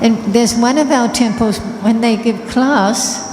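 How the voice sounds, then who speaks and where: A woman with a fairly high pitch speaks fairly slowly and with fairly even intonation, with audible room echo and noticeable background noise. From Australia. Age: 70s. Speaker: spiritual teacher. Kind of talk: talk to an audience.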